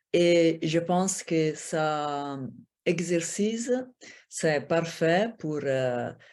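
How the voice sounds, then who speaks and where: Speaking at a very slow pace, a woman in an Italian accent has a fairly low pitch with ordinary variation. The recording is very clean and the background silent. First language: Italian (speaking French). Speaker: former Olympic judoka and assistant professor. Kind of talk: conference Q&A answer. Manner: halting, searching for words.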